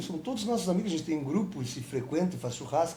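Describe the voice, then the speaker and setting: A man's fairly high voice comes through with audible room echo. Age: 60s. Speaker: film director and actor. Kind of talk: interview.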